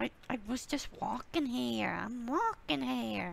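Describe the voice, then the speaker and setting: A female-sounding voice performs a put-on character voice at a fairly slow pace. Clear background noise runs underneath. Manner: indignant, annoyed.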